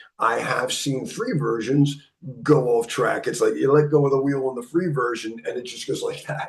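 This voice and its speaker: A man is speaking. There is audible room echo. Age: 60s. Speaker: cybersecurity instructor. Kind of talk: lecture. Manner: halting.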